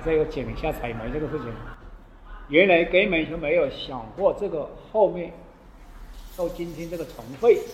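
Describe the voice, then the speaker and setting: Pitched fairly high with ordinary pitch variation, a man speaks at a moderate pace with long, frequent pauses and big swings in loudness, amid audible room echo and noticeable background noise. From Hunan, Zhuzhou. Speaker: coal miner with pneumoconiosis. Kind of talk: interview testimony. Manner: halting.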